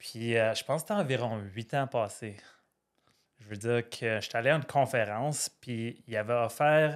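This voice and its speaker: In a very clean recording against a silent background, a man with an Ottawa accent speaks at medium pitch and a moderate pace, his pitch varying in an ordinary way. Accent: Ottawa French Canadian. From Ottawa, Canada (Franco-Ontarian). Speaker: firefighter and trader, podcast guest. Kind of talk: casual interview chat.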